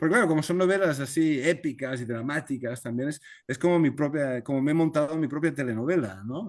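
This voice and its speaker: A man's fairly high-pitched voice with a Spanish accent, against a quiet background. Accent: Spanish (Spain). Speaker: novelist. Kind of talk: video conference talk, Q&A. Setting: video call. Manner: halting, many repetitions.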